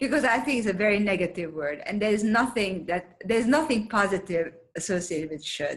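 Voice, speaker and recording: A woman's voice comes through somewhat breathy at a medium pitch. She speaks with lively intonation. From Hungary. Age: 70s. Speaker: former magazine publisher, nonprofit founder. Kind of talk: interview.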